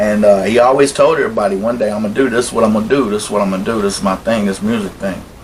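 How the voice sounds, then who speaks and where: A man's fairly low-pitched voice with an American accent, very fast with hardly any pauses, fairly even intonation, and noticeable background noise. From South Carolina. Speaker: documentary interviewee. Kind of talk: interview testimony. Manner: casual.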